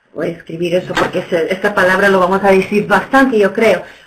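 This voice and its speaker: A woman speaks with an English accent. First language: English (speaking Spanish). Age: 50s. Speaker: nonprofit executive director. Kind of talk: webinar presentation. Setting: webinar. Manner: halting, many fillers.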